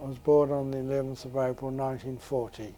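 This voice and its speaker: Music plays in the background as a man with a New Zealand accent talks at a medium pitch. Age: 80s+. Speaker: elderly man telling his life story. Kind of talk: personal life-story interview. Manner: hesitant, halting.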